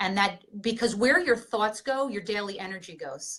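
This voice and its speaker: A woman has an unremarkable speaking voice at a medium pitch. She talks at a moderate pace. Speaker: fitness coach. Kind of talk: seminar presentation.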